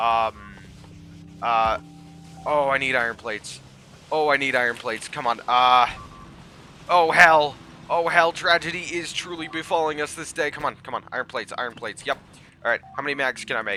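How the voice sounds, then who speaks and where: Against noticeable background noise, a man with a fairly high pitch talks at a moderate pace with long, frequent pauses. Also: ordinary pitch variation. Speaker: gaming video creator. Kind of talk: let's play commentary. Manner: animated.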